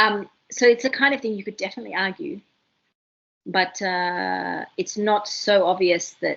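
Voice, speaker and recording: Speaking at a medium pitch with lively intonation and vocal fry, a woman talks in an Australian accent. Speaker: university tutor. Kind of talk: lecture. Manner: animated.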